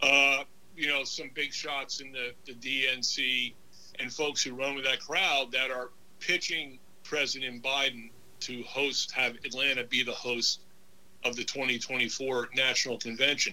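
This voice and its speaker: A man with an American accent speaks in a medium pitch at a fairly slow pace. His delivery is monotone and flat, with noticeable background noise behind it. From New York / New Jersey area. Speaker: author and Navy veteran. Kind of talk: casual interview chat.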